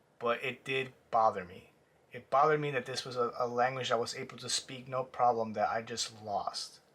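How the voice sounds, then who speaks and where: A man speaks with a Spanish accent. His pitch is medium and his pace moderate. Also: fairly even intonation, big swings in loudness. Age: 20s. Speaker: artist vlogger. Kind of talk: personal vlog reflection. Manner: halting.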